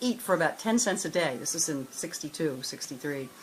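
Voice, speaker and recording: Against noticeable background noise, a woman talks at a fairly quick pace with lively intonation. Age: 70s. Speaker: former fashion model. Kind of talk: interview testimony. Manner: halting.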